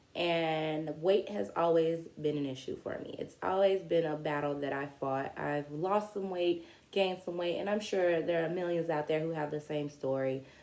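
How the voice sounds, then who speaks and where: Moderate pace, hardly any pauses, and noticeable background noise. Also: woman, fairly low pitch for a woman, ordinary pitch variation. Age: 30s. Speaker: vlogger. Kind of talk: personal story monologue. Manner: casual, conversational.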